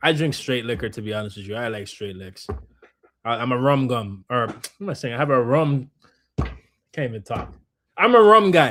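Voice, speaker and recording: Speaking at a moderate pace, a man uses an animated, bright, sharp tone with very wide pitch swings. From Jamaica. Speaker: streamer and filmmaker. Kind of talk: live stream reaction chat. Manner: casual, animated.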